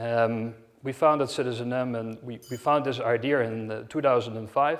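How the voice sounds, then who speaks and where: Speaking with a Dutch accent, a man holds a medium pitch. His intonation stays fairly even at a moderate pace. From Netherlands, Amsterdam. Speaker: hotel company director. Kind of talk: conference talk. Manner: halting, many fillers.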